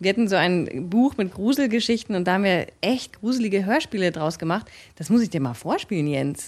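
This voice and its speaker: At a fairly quick pace, a woman with a plain, everyday voice and a medium pitch speaks with lively intonation over a quiet background. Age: 30s. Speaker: actress and voice artist. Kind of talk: casual chat.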